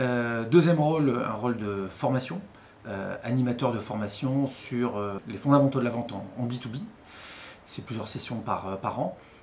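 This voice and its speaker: Noticeable background noise and audible room echo surround this recording. A man talks at a moderate pace in a medium pitch. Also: ordinary pitch variation. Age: 40s. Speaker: HR consultant and mentor. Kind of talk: interview testimony.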